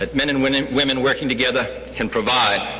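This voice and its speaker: A man speaks at a fairly quick pace with a fairly high pitch. Noticeable background noise runs underneath. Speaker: president of the United States. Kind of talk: after-lunch civic address. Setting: hotel ballroom.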